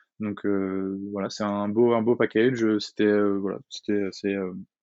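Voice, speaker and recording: The man's voice sits fairly low. His intonation is monotone and flat. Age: 20s. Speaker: business school student intern. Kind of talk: interview. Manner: halting, many repetitions.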